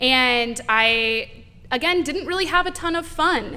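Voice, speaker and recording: This voice has a bright, sharp tone and lively intonation, with an American accent. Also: woman. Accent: Texan accent only comes out in the South. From Texas (San Antonio). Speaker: campaign field director. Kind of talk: podcast interview.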